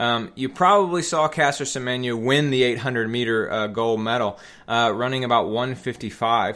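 An American-accented man at medium pitch speaks at a moderate pace with a bright, sharp tone and ordinary pitch variation. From US South, Metro Atlanta, Georgia. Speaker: podcast host and endurance coach. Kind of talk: solo podcast monologue.

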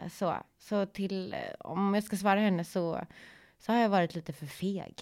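In a very clean recording with a silent background, a woman uses an ordinary speaking voice at medium pitch, fairly slow and with fairly even intonation. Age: 40s. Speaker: podcast host. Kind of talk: casual chat.

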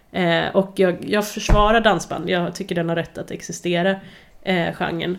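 Speaking at a moderate pace, a woman with a fairly low voice and vocal fry keeps her intonation fairly even. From Värmland, Sweden. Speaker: podcast host, journalist. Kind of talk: casual chat.

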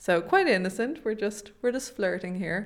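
A woman in an Irish accent, with ordinary pitch variation. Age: 20s. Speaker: podcast co-host. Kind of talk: casual chat. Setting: home studio.

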